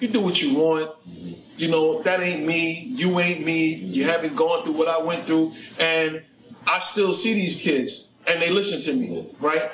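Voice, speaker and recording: A man with a New York accent speaks fairly slowly in a high voice with ordinary pitch variation. His loudness stays very even, and there is noticeable background noise. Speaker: podcast host, ex-prisoner. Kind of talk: casual chat.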